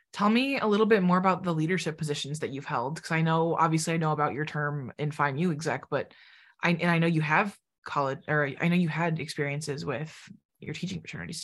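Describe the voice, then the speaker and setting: With a fairly quick pace and ordinary pitch variation, a woman speaks in a normal speaking voice at a fairly low pitch over a quiet background. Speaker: podcast host. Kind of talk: casual interview chat.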